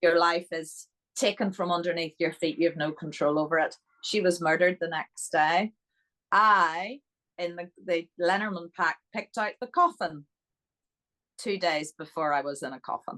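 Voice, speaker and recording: A woman with a Northern Irish accent speaks at a moderate pace in a bright, sharp tone, her fairly low pitch moving with ordinary variation, the sound dry and close with no echo. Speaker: interview guest.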